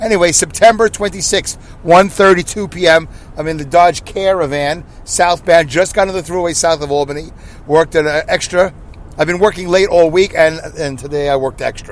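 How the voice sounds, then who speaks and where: Over noticeable background noise, a man talks in a high voice. His intonation is fairly even. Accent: Brooklyn. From Brooklyn, New York. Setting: in a car. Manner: fast.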